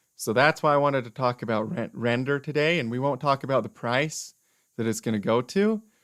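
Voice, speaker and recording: In a very clean recording with a silent background, a man's moderate-paced speech carries ordinary pitch variation. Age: 20s. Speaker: crypto investing YouTuber. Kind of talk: live stream market analysis. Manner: animated.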